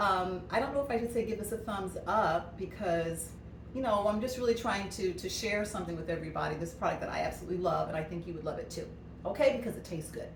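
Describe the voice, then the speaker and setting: Noticeable background noise and audible room echo surround a woman's speech. She talks at a very fast pace in an animated tone with ordinary pitch variation. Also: medium pitch for a woman. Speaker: cooking product consultant. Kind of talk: cooking demo and product pitch. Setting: at home, snow outside.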